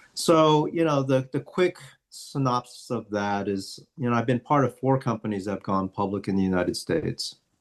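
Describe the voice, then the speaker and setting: This man has an ordinary speaking voice with medium pitch. He talks at a moderate pace with ordinary pitch variation. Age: 60s. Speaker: entrepreneur and martial artist. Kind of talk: interview.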